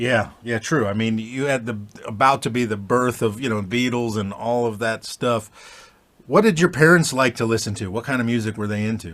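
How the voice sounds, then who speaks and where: An unremarkable speaking voice comes from a man at medium pitch. He talks at a moderate pace with ordinary pitch variation. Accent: American. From Florida. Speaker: guitarist and channel host. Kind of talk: interview. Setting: home studio.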